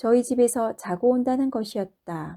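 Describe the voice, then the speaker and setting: A woman with a dark, mellow tone and ordinary pitch variation is heard in a very clean recording with a silent background and a dry, close sound with no echo. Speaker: non-professional audiobook reader. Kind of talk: audiobook narration of a short story.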